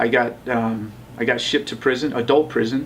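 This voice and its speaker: A man with a General American accent speaks over noticeable background noise. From US West, Las Vegas. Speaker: tattoo artist and city council candidate. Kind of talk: interview, life story.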